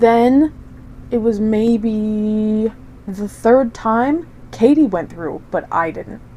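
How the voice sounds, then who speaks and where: Her tone is dark and mellow. The woman speaks at a fairly high pitch. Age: 20s. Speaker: podcast co-host. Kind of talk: casual chat.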